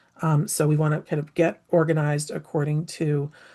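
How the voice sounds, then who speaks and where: A woman speaks at a moderate pace in a very deep, low voice that is somewhat breathy, with a dark, mellow tone. Her intonation stays monotone and flat. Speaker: anthropologist and implementation science researcher. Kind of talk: lecture.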